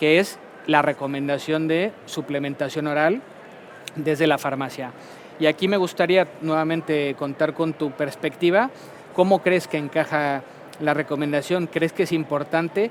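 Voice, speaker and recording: Over noticeable background noise, a man with a fairly high voice talks at a fairly slow pace. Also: fairly even intonation. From Mexico. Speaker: pharmaceutical company medical director. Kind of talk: conference talk.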